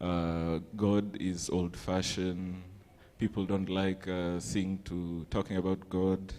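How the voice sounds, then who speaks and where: Delivered at a very slow pace, the voice has a dark, mellow tone and monotone, flat intonation. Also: man, very deep, low pitch for a man. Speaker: youth group presenter. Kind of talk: group presentation in church. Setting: church.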